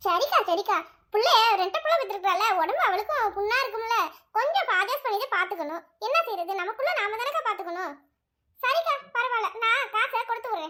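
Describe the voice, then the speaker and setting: A woman uses a cartoonish character voice at an extremely high pitch and a moderate pace. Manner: warm, colloquial rural Tamil.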